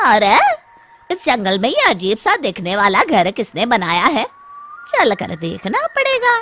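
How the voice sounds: A man does a cartoonish character voice at an extremely high pitch, talking at a fairly slow pace.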